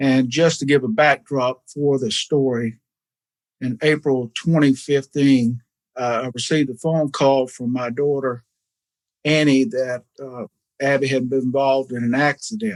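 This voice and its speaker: A man's fairly high voice in a Southern US accent, dry and close with no echo, ordinary pitch variation, a fairly slow pace and long, frequent pauses. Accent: Southern US (Georgia). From US South, Georgia (Savannah area). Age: 60s. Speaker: foundation founder, businessman. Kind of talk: radio interview. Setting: studio.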